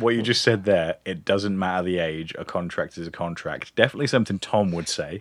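Speech moves at a fairly quick pace with hardly any pauses. Pitch variation is ordinary. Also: man, fairly low pitch for a man. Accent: English. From England. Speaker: podcast co-host. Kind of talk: casual chat.

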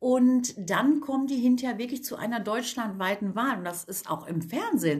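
With noticeable background noise behind her, a woman speaks at a fairly high pitch with lively intonation. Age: 50s. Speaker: cosmetics entrepreneur, women's network founder. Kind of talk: casual interview chat.

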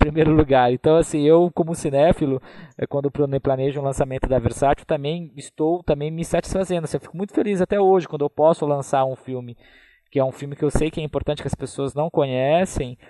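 Speaking at a fairly quick pace, a man with a fairly high pitch and a dark, mellow tone keeps his intonation fairly even, and the sound is dry and close with no echo. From Brazil, interior of São Paulo state (Taubaté). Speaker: film curator and critic. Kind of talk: casual chat.

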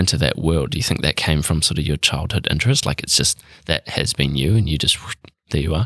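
With a New Zealand accent, the speaker goes at a very fast pace with very even loudness and ordinary pitch variation in a dry, close sound with no echo. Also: man, very deep, low pitch for a man. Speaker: podcast host. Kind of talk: casual interview. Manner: mumbling, drops syllables.

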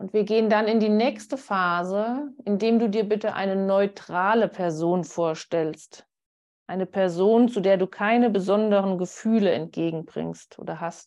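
A woman talks fairly slowly in an ordinary speaking voice at a medium pitch. Her pitch variation is ordinary, and the background is quiet. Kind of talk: guided meditation. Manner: calm, slow, soothing guidance.

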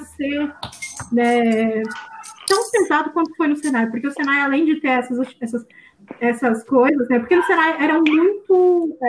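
Her high voice carries lively intonation as the woman speaks. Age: 20s. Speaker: engineering student. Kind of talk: casual chat.

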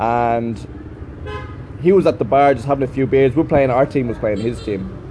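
A man speaks with an Irish accent at a medium pitch. Noticeable background noise is present. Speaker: teacher. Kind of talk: casual monologue.

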